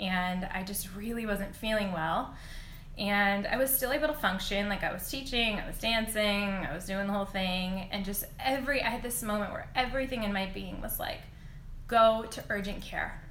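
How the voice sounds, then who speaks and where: A medium-pitched woman's voice with a bright, sharp tone and audible room echo. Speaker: reiki teacher and dance instructor. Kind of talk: instagram live talk with guided visualization; guided meditation. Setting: instagram live video. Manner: slower, calm guiding.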